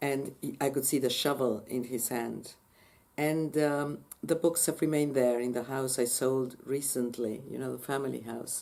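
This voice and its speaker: A woman's very deep, low pitch with a dark, mellow tone and fairly even intonation. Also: moderate pace. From Argentina, Buenos Aires. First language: Spanish. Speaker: language teacher educator. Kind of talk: interview answer. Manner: halting.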